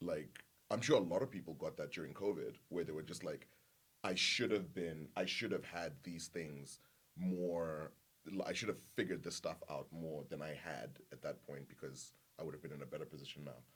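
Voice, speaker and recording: Vocal fry runs through a man's very deep, low voice at a moderate pace with ordinary pitch variation. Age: 30s. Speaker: podcast guest. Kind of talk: casual chat. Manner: halting, repeats words.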